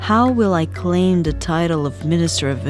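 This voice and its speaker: Music sounds in the background as a woman talks at a fairly slow pace. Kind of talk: soft ASMR book reading. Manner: soft-spoken.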